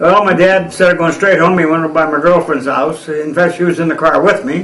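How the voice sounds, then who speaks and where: A man with an American accent, high pitch, fairly even intonation and a fairly quick pace, amid noticeable background noise and audible room echo. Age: 80s+. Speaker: war veteran. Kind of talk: oral history interview. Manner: halting.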